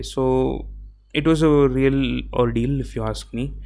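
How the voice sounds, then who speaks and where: This man speaks with a South Indian accent. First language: Tamil. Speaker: podcaster. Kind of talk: solo podcast monologue. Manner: casual, with fillers and self-corrections.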